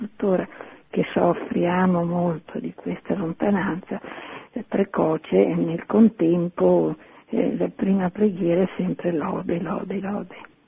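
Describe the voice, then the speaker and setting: Background noise is noticeable. The speech moves at a very slow pace. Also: woman. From Naples. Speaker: caller. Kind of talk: casual chat. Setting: phone call.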